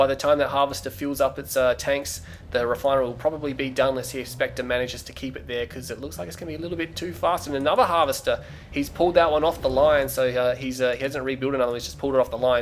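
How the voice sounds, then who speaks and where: A man with an Australian accent at a fairly high pitch, very fast, with ordinary pitch variation, big swings in loudness and music in the background. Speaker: video game commentator. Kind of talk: live commentary. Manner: animated.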